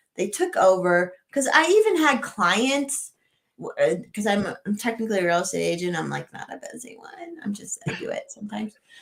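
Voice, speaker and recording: A woman with an American accent talks at a fairly quick pace, her loudness swinging widely. Music plays in the background. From Colorado. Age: 30s. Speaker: city council candidate, real estate agent. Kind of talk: casual interview chat.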